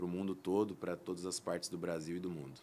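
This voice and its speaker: Speaking fairly quickly, a man keeps his very deep, low voice in a flat monotone. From interior of São Paulo state, Brazil. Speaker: plastic surgeon, guest. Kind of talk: interview podcast.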